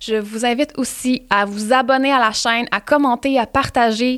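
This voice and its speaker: In a very clean recording with a silent background, a woman with a Quebec accent speaks at a fairly slow pace in a flat, monotone intonation. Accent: Québécois French. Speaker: podcast host. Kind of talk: casual chat; sponsor read.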